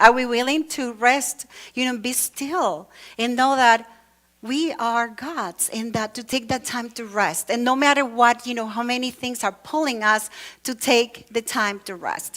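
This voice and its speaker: Fairly slow, high-pitched woman's voice with a Latin American accent and ordinary pitch variation, in a very clean recording with a silent background. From Venezuela. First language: Spanish. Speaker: church speaker. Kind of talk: sermon. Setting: church with congregation. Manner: conversational, with many fillers.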